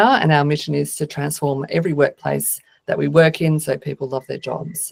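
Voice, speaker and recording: A woman speaks at a moderate pace in an Australian accent. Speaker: agile consultant and speaker. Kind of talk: conference talk. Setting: video call.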